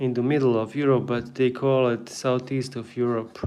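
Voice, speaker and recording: In a Bosnian accent, a man talks at medium pitch in a monotone, flat intonation. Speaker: artist and drawing teacher. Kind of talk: live drawing tutorial. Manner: casual, halting.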